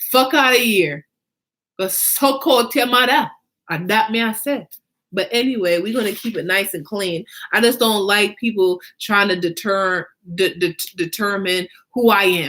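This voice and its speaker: With lively intonation and a bright, sharp tone, a woman talks at a moderate pace and medium pitch. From Jamaica. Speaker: fashion designer and show host. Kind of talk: casual monologue.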